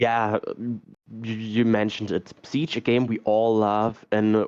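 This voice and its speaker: Against a quiet background, a man of medium pitch speaks at a fairly slow pace with a non-native accent. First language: not English. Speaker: esports caster. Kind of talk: live commentary. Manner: halting.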